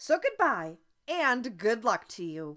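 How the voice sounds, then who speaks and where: A woman puts on a character voice at a fairly high pitch, with very wide pitch swings and a fairly slow pace, in a very clean recording with a silent background. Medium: read story. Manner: formal, dignified.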